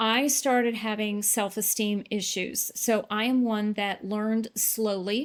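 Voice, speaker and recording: Using an ordinary speaking voice, a woman talks fairly slowly at a fairly high pitch, with very even loudness, fairly even intonation and hardly any pauses. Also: very clean recording, silent background. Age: 60s. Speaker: weight loss client. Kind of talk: interview testimony.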